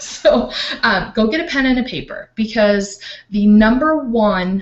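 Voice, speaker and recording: Somewhat breathy woman's voice with lively intonation. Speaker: life coach. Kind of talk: online training talk.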